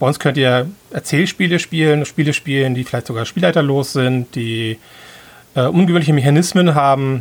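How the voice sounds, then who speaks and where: Moderate pacing and ordinary pitch variation in a plain, everyday voice. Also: man. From Hamburg, northern Germany. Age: 40s. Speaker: event organizer. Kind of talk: casual chat.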